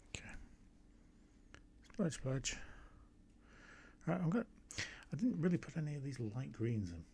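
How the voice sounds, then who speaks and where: With an English accent, a man speaks at a moderate pace in a fairly high, somewhat breathy voice with a dark, mellow tone, very wide pitch swings, and long, frequent pauses. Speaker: amateur watercolour painter. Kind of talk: painting tutorial with running commentary. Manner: casual, thinking aloud.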